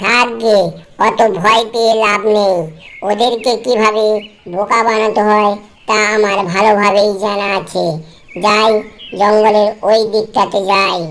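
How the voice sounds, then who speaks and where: A cartoonish character voice that sounds female, at a medium pitch, moves at a fairly slow pace with monotone, flat intonation. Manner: thinking aloud, sly.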